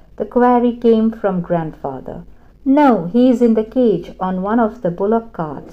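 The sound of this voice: Pitch variation here is ordinary. The delivery is an unforced reading voice.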